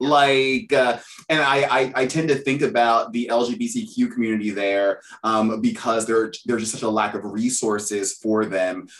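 This man has a normal speaking voice at a medium pitch. His pitch moves with ordinary variation. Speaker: podcast host. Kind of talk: casual interview chat.

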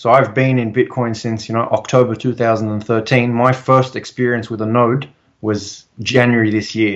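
Against a quiet background, a man with an Australian accent speaks at a fairly slow pace in a medium pitch with fairly even intonation. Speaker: civil engineer and bitcoin advocate. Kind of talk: interview.

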